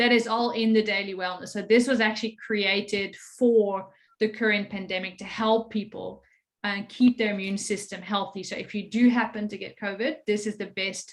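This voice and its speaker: A woman with a Dutch accent speaks at a moderate pace and medium pitch in a monotone, flat way. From Netherlands. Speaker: network marketing presenter. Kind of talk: sales pitch.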